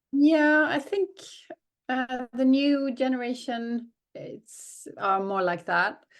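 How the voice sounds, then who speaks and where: A woman with a Swedish accent speaks at a very slow pace, her high pitch carrying lively intonation and big swings in loudness. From southern Sweden. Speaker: working mother. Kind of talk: casual interview chat. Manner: halting, many fillers.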